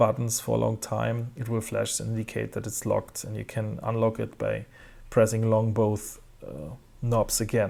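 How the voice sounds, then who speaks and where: A man with a German accent at a moderate pace, on a very clean recording with a silent background. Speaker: tech reviewer. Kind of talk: product review. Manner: halting, many fillers.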